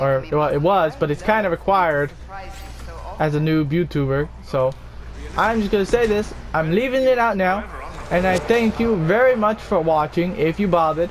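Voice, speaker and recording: Over noticeable background noise, a quiet man talks at a fairly quick pace in a high pitch with ordinary pitch variation. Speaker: gaming youtuber. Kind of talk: gameplay commentary; video outro.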